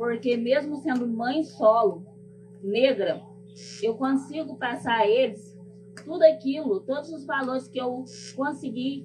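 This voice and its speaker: With music playing behind her, a woman speaks fairly slowly in a high voice, her ordinary pitch variation broken by long, frequent pauses. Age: 40s. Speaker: public servant and activist. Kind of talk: personal testimony. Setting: stage with audience.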